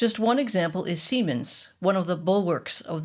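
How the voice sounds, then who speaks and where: An ordinary speaking voice from a woman, with lively intonation at a moderate pace. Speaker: podcast host. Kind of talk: podcast narration.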